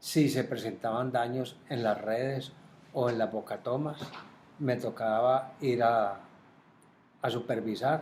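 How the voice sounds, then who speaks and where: Here a man speaks at medium pitch and a very slow pace. His voice is somewhat breathy, with long, frequent pauses. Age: 70s. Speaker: retired water utility administrator. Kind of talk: interview. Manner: halting, with repetitions.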